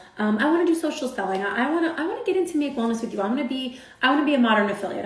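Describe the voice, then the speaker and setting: Amid noticeable background noise and audible room echo, a woman talks in an animated tone at a very fast pace. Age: 40s. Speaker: social media influencer. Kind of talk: motivational talk on a livestream. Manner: loud.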